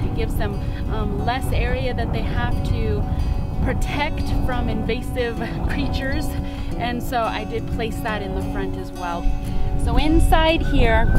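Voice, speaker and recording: Loud music plays behind a dry, echo-free voice that moves fairly slowly with long, frequent pauses. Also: woman. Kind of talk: tutorial.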